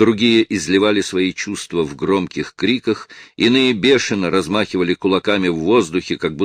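The delivery is an unforced reading voice. Pitch variation is ordinary.

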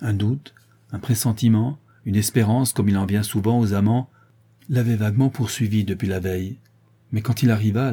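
This is an unforced reading voice. The words are simply read.

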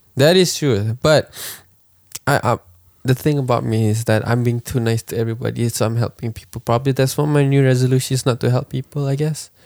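At a fairly quick pace, a man speaks at a medium pitch in a normal speaking voice, his intonation fairly even. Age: 20s. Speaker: podcast co-host. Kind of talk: casual chat.

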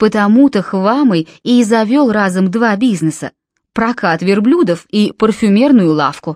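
Against a quiet background, the voice reads aloud plainly with ordinary pitch variation.

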